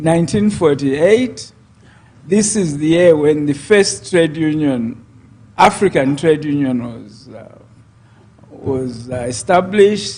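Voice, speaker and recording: A man with a fairly high, somewhat breathy voice speaks very slowly with lively intonation and big swings in loudness. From Zambia. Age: 70s. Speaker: politician. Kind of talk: interview.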